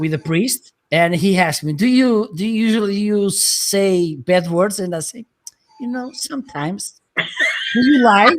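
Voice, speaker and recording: A man speaks with a non-native accent at a high pitch. His intonation is lively. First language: not English. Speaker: live stream host. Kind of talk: casual chat. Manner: halting.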